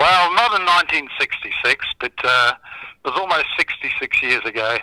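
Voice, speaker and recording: Recorded dry and close with no echo, a man with an Australian accent speaks at a moderate pace. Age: 60s. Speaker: charity founder and former broadcaster. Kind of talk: radio interview.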